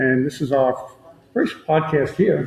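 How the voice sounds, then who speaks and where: A man talks with a fairly high pitch. Noticeable background noise runs under his voice. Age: 80s+. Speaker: podcast co-host. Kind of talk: casual chat. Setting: remote broadcast at senior living facility. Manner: soft-spoken. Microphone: too quiet.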